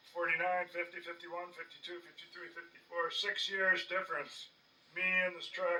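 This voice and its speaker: A man's high-pitched, monotone, flat delivery at a moderate pace over noticeable background noise. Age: 60s. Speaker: DIY tractor restorer, channel owner. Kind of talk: casual workshop vlog narration. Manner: hesitant with frequent uh fillers.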